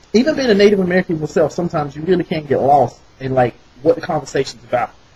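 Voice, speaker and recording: A man's fairly high, lively voice at a very fast pace with a slight Southern accent. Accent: slight southern twang. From US South, rural North Carolina. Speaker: vlogger. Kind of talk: casual monologue. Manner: animated.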